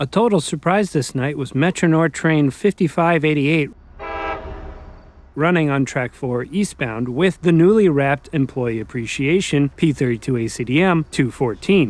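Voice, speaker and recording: A man talks at a moderate pace in a normal speaking voice. His pitch is fairly high and his intonation lively. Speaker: railfan video narrator. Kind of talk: documentary voiceover narration. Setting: college radio station studio, muffled with background buzz.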